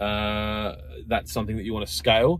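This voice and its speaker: A man speaks at a fairly low pitch with vocal fry. The sound is dry with no echo, over light background noise. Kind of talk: casual vlog chat. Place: car. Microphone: phone near.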